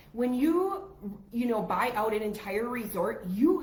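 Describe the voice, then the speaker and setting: In a room with audible echo and noticeable background noise, a woman speaks at a moderate pace. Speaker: travel agent podcast co-host. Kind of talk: casual chat. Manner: quieter than usual.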